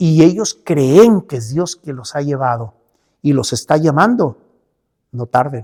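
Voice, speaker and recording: In a dry, close sound with no echo, a man with a fairly high pitch and a dark, mellow tone speaks at a very slow pace with very wide pitch swings. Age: 70s. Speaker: pastor and church leader. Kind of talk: interview. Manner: halting, with many fillers.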